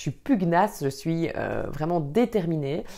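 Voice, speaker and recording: A woman with a Belgian accent speaks in a dark, mellow tone with vocal fry. Her intonation is lively, and the recording is very clean with a silent background. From Belgium, Wallonia. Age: 30s. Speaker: vlogger and trainer. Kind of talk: personal introduction vlog. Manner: hesitant, many filler sounds.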